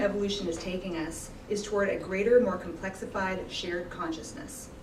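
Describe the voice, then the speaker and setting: Over noticeable background noise, a woman talks at a fairly quick pace and medium pitch with hardly any pauses. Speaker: graduate student and conference speaker. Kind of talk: conference talk. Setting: conference with audience. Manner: fast.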